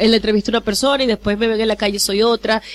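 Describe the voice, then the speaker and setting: Against noticeable background noise, a woman speaks at a fairly high pitch. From Venezuela, Maracaibo. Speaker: radio host and journalist. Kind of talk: interview. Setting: studio.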